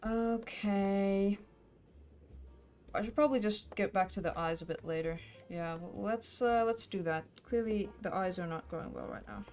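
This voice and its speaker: Music plays in the background as a woman with a slight Finnish accent speaks at a moderate pace, leaving long, frequent pauses. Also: medium pitch for a woman, ordinary pitch variation. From Finland. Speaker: streamer, artist. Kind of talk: casual live-stream chat while drawing. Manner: casual, hesitant with fillers.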